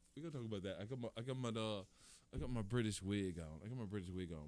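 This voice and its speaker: Male speech on a very clean recording, silent background. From Detroit. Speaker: comedian podcaster. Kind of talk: casual comedic monologue. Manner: repetitive, loose.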